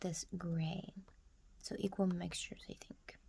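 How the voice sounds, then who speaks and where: Soft-spoken and calm, with light background noise. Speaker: amateur watercolor artist and ASMR creator; ASMR creator. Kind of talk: soft-spoken ASMR painting tutorial. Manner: soft-spoken, calm.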